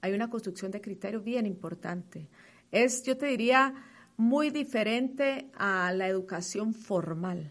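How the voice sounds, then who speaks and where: In an ordinary speaking voice, a woman speaks at a fairly high pitch with lively intonation against a quiet background. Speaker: advertising executive. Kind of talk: interview.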